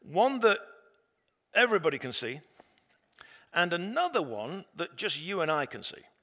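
Speaking with an English accent at a moderate pace, a man uses a high voice with very wide pitch swings, big swings in loudness, and long, frequent pauses. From England. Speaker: pastor. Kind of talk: sermon.

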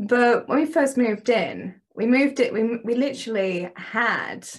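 A British accent over a quiet background. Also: woman. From England. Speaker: dating and relationship coach. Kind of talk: interview, conversational.

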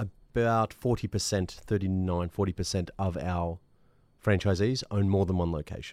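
In an Australian accent, a man with a very deep, low pitch talks at a moderate pace with fairly even intonation. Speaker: fitness franchise executive. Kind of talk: interview. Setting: recording studio.

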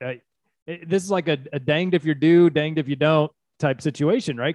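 Speaking at a moderate pace with an American accent, a man has a fairly high pitch, ordinary pitch variation and an unremarkable speaking voice. The sound is dry and close with no echo, over a quiet background. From Houston suburbs, Texas. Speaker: criminal defense attorney, podcast co-host. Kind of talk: casual chat.

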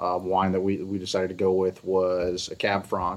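A man with an American accent speaks in a normal speaking voice, fairly low in pitch and at a fairly slow pace. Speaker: winery co-owner. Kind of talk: casual chat.

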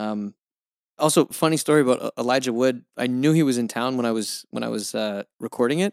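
Medium pitch from a man at a fairly quick pace, with ordinary pitch variation. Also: dry, close sound with no echo. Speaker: voice actor. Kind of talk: interview. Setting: video call.

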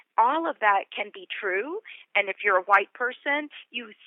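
With very wide pitch swings, a woman with an American accent speaks at a moderate pace. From US South, Atlanta suburbs. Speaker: author. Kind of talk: interview.

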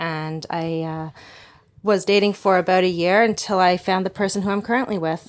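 In a plain, everyday voice, a woman speaks at medium pitch and a fairly quick pace with fairly even intonation, on a very clean recording with a silent background. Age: 30s. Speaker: single mother describing online dating. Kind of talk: interview.

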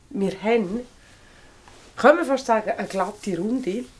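A woman with a Swiss accent speaks fairly high in pitch at a moderate pace, her intonation lively. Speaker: podcast host. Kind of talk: casual chat. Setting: indoors in a remote cabin by the fire.

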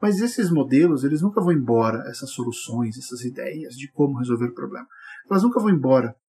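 Fairly quick and somewhat breathy, a man speaks at a fairly high pitch for a man in a dark, mellow tone. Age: 40s. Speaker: writer and podcast host. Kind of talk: solo podcast monologue. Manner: animated.

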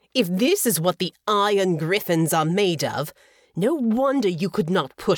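Lively intonation marks this reading. The voice is unforced.

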